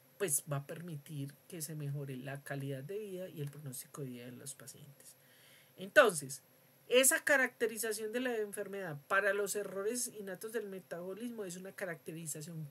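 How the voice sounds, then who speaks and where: At a moderate pace, a woman speaks at a medium pitch with very wide pitch swings and big swings in loudness. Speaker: university lecturer. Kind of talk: lecture. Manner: hesitant with fillers.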